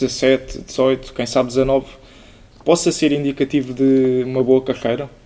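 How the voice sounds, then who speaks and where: A man talks at a medium pitch. There is noticeable background noise. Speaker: student podcast host. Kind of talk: interview.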